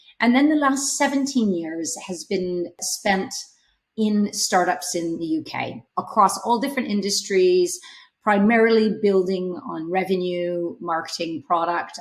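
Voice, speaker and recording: A woman with a Canadian accent has an ordinary speaking voice at a medium pitch. She talks at a moderate pace with lively intonation. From Canada. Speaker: startup CEO. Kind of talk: podcast interview.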